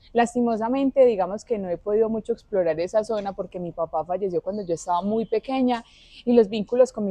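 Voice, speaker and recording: At a fairly quick pace, a woman with a paisa accent talks at a medium pitch with ordinary pitch variation. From Colombia, Antioquia (Marinilla, eastern Antioquia). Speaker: social communicator. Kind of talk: interview.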